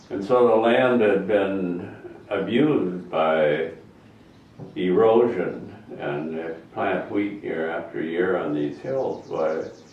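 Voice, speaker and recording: Audible room echo surrounds speech at a very slow pace. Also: man. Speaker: retired teacher and farmer. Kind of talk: interview.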